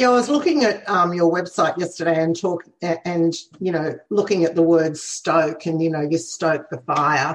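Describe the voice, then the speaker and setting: In an Australian accent, a woman with fairly low pitch speaks at a moderate pace with ordinary pitch variation. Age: 60s. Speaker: podcast host. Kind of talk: casual interview. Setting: video call.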